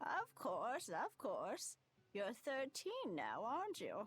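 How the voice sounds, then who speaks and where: The speaker uses a put-on character voice with a high pitch. The delivery comes at a very slow pace. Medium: video game. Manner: cryptic, fretful.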